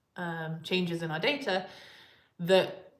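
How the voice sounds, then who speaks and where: Speaking at a fairly slow pace, a woman is heard with audible echo from the room. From England, Coventry. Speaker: particle physicist. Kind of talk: live Q&A stream. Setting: live stream. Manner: hesitant, many fillers.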